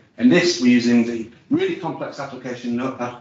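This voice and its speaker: A man speaks at a fairly quick pace with a medium pitch. Room echo is audible around his voice. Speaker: IT presenter at user group. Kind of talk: technical presentation with demo. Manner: fast.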